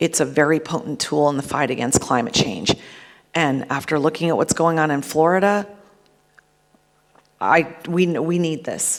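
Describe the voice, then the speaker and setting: A woman with an American accent, very deep, low pitch, ordinary pitch variation, moderate pace and long, frequent pauses. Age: 50s. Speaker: cannabis business executive. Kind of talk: conference talk. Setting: stage with audience.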